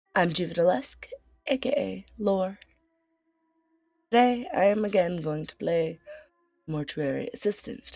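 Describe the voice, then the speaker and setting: A woman at medium pitch with lively intonation, speaking at a fairly slow pace with long, frequent pauses over music in the background. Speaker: game streamer. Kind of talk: let's play commentary.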